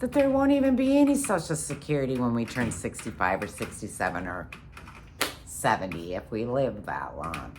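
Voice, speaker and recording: Noticeable background noise and audible room echo fill the recording. A woman talks at a moderate pace. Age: 50s. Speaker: vlogger. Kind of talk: casual monologue. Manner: halting.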